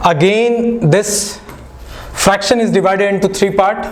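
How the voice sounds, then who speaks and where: Over noticeable background noise and audible room echo, a man speaks with a non-native accent. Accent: non-native Hindi, self-described. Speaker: maths teacher. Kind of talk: online lecture. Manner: casual, conversational.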